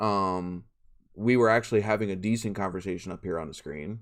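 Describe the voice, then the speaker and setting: On a very clean recording with a silent background, a man with a fairly low pitch speaks at a moderate pace with fairly even intonation. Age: 30s. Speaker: live stream host. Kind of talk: casual chat. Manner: halting.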